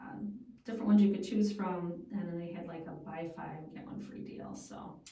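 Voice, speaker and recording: A woman's plain, everyday voice, fairly low in pitch, at a moderate pace with big swings in loudness. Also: ordinary pitch variation. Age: 50s. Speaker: food radio show and podcast host. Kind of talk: casual chat.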